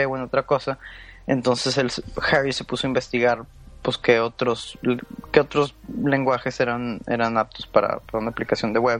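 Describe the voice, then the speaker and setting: Music behind a man's moderately paced speech at a medium pitch. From Mexico, Monterrey (Nuevo León). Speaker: software engineer. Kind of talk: podcast interview. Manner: halting.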